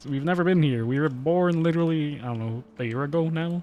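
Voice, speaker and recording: Speaking at a fairly quick pace, a man uses a fairly high pitch with ordinary variation. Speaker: vtuber streamer. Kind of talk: casual gameplay commentary. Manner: soft-spoken.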